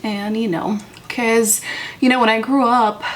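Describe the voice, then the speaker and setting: The speech moves at a fairly slow pace with fairly even intonation. Noticeable background noise sits behind it. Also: woman. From Moldova. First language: Romanian and Russian. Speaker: beauty vlogger. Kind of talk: casual makeup tutorial chat.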